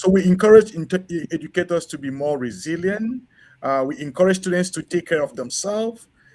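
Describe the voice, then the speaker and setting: The speech shows ordinary pitch variation against a quiet background. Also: man. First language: French. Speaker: education researcher and former school principal. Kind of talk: conference presentation. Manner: halting, many fillers.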